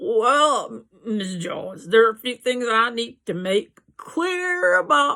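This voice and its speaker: A woman uses a put-on character voice, fairly high in pitch with very wide swings. She goes at a fairly slow pace with hardly any pauses. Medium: read story. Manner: slurred, insinuating.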